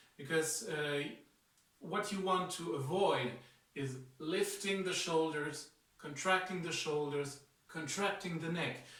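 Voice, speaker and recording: A man speaks at a fairly slow pace in a fairly high voice, with ordinary pitch variation and long, frequent pauses. Audible room echo and noticeable background noise fill the recording. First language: not English. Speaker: martial arts instructor. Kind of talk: tutorial. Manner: hesitant, many fillers.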